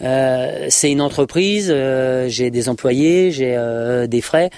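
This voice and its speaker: A man at medium pitch, in a dry, close sound with no echo and a very clean recording with a silent background. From France, Isère. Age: 40s. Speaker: horse dealer and show jumping rider. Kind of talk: podcast interview. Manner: hesitant, many fillers and repetitions.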